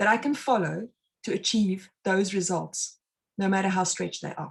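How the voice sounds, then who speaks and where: With a South African accent, a woman talks at a moderate pace and medium pitch, showing vocal fry and fairly even intonation. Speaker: mind and success consultant, meditation instructor. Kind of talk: live online talk.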